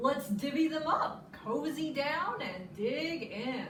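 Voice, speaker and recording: A female-sounding voice puts on a character voice, pitched high and moving very slowly. There is slight echo and clear background noise. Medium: read story.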